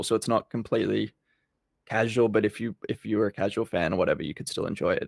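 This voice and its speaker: A man with an Australian accent talks at a fairly quick pace. The sound is dry and close, with no echo. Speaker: basketball YouTuber. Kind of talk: podcast interview. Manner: energetic.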